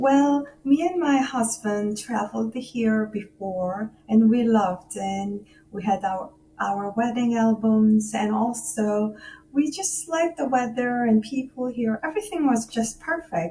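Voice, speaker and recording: A woman's dark, mellow, somewhat breathy voice with lively intonation at a fairly slow pace. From South Korea, Seoul. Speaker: musician and music professor. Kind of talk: radio interview. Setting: remote call from home.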